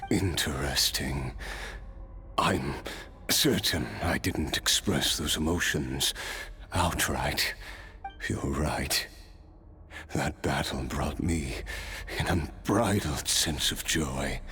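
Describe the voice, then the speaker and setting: Over clear background noise, a man in a cartoonish character voice speaks at a very slow pace with long, frequent pauses. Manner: wry, laughing softly.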